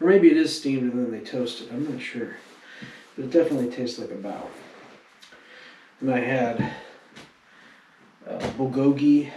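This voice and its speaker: A man speaks with long, frequent pauses, big swings in loudness and ordinary pitch variation against noticeable background noise. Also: medium pitch for a man, moderate pace. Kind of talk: casual travel vlog talk to camera.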